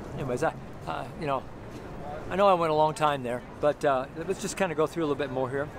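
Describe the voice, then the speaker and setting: A man talks very fast with ordinary pitch variation, his dry, echo-free sound set against noticeable background noise. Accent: American. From Denver, Colorado, US. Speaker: street preacher and founding pastor. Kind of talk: sermon preached outdoors on the street. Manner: earnest, preaching delivery. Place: street. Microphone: phone near.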